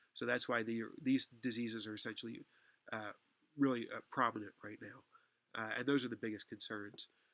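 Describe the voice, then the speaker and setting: A man's bright, sharp voice holds a monotone, flat intonation. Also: medium pitch for a man, moderate pace, dry, close sound with no echo. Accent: American. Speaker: university lecturer. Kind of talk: online lecture. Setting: online class session. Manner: hesitant, many fillers.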